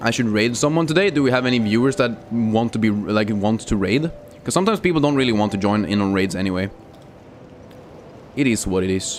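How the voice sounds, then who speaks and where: A man speaks at a very fast pace with very even loudness. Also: medium pitch for a man, ordinary pitch variation. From Sweden. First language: Swedish. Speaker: gaming streamer. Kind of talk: casual live stream chat. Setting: live stream. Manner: casual, with many fillers.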